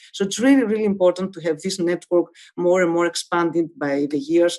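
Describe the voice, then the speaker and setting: A woman with a Greek accent speaks in a fairly low pitch, her dark, mellow tone marked by lively intonation. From Greece. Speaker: medical professor. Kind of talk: webinar lecture. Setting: online webinar. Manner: halting, many filler sounds.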